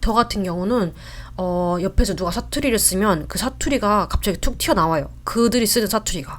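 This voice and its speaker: A woman talks at a moderate pace and a medium pitch with lively intonation. Her voice carries vocal fry. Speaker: vlogger. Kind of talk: casual talk to camera. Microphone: new mic, set up wrong at start.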